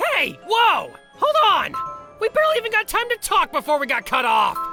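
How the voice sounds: A cartoonish character voice with a bright, sharp tone swings very widely in pitch at a moderate pace. Faint music plays in the background. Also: woman, extremely high pitch for a woman.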